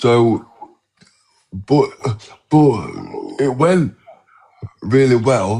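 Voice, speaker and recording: The voice moves at a very slow pace with long, frequent pauses. Its pitch varies in an ordinary way. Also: man, medium pitch for a man. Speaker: guest talking about stuttering. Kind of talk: casual interview chat. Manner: halting, with repetitions.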